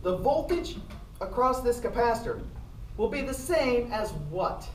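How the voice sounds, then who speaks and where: Lively intonation carries speech at a fairly slow pace, with audible room echo and noticeable background noise. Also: woman, high pitch for a woman. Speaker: physics professor. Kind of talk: lecture. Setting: classroom. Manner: animated.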